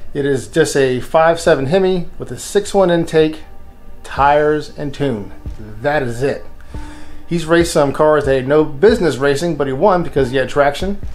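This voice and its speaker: Faint music plays behind a man speaking. He keeps a moderate pace with ordinary pitch variation. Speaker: car channel host. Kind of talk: casual vlog chat. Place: garage. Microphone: phone near.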